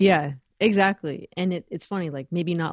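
With an American accent, a woman in an unremarkable speaking voice talks at a moderate pace, fairly low in pitch with ordinary variation, the sound dry and close with no echo over a quiet background. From Los Angeles, US. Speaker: bassist, singer and educator. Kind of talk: casual interview chat.

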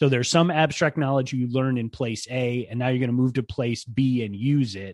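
A man speaks in a normal speaking voice at medium pitch and a moderate pace, with ordinary pitch variation, hardly any pauses, and a quiet background. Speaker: podcast co-host on learning theory. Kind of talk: casual podcast chat about education.

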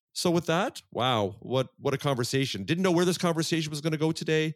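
A very clean recording with a silent background gives a dry, close sound without any echo. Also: man. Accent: Canadian. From Vancouver, Canada. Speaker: podcast host. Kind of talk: casual interview chat. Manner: fast talker when excited.

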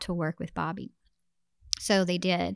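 A woman with a Texan accent speaks at a moderate pace and medium pitch with fairly even intonation, in a dry, close sound with no echo on a very clean recording with a silent background. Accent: Texan American. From Texas, Beaumont. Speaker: theater company founder and director. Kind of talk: casual interview.

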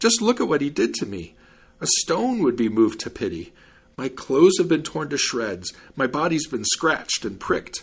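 A man's put-on character voice, fairly high in pitch with big swings, a slightly husky edge, and a moderate pace

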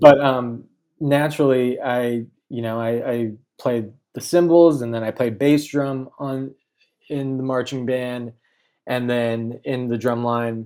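Speaking in an American accent at a medium pitch, a man talks at a fairly slow pace with fairly even intonation and long, frequent pauses, on a very clean recording with a silent background. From Southern California, Inland Empire. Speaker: graphic designer. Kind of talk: casual interview chat. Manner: frequent fillers and hesitations.

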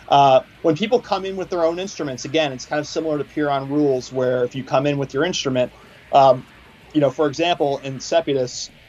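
Against noticeable background noise, a man with a fairly high pitch and an American accent speaks at a fairly quick pace. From Philadelphia. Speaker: metal musician. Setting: phone call.

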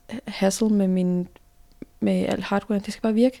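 This woman speaks at a moderate pace in a medium pitch, her tone dark and mellow and her intonation monotone and flat. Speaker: graphic designer and illustrator. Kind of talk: casual interview. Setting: office.

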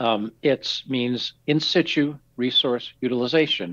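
Against a quiet background, a man with an unremarkable speaking voice talks at a fairly slow pace and a medium pitch. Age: 60s. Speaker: research scientist. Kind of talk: interview.

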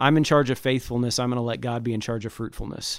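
The man speaks at a medium pitch. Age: 40s. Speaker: pastor. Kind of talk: interview. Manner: animated.

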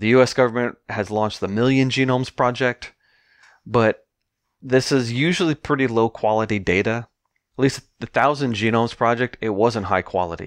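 A man speaks at medium pitch in a normal speaking voice, with ordinary pitch variation. The background is quiet and the sound dry and close with no echo. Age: 50s. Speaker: geneticist and marine biologist. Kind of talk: interview. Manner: fast, run-on explanations.

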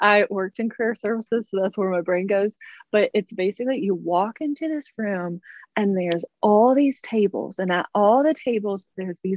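With a normal speaking voice at medium pitch, a woman speaks with lively intonation. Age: 20s. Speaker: debut young adult author. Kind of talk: interview.

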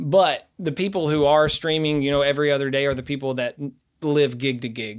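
Speaking fairly quickly, a man uses an East Tennessee accent. His pitch is fairly high, with ordinary variation. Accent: Southern US (East Tennessee). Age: 20s. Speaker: singer-songwriter and bass player. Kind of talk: casual interview chat.

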